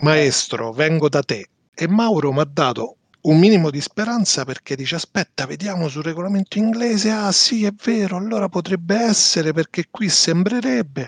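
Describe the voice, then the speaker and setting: A man's high voice at a moderate pace, lively in intonation, with a dry, close sound and no echo. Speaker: podcast co-host. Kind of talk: casual chat.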